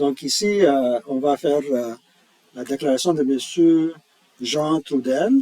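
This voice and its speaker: Very slowly and with long, frequent pauses, a man with a non-native accent speaks in a fairly high pitch with ordinary pitch variation. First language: not French (speaking French). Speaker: tax software employee. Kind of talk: tutorial. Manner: halting, many hesitations.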